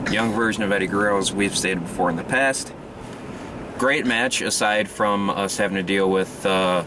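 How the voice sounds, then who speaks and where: A man speaks with fairly low pitch, fairly even intonation and very even loudness. Noticeable background noise is in the recording. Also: moderate pace. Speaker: wrestling podcast host. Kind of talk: casual chat. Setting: in a car.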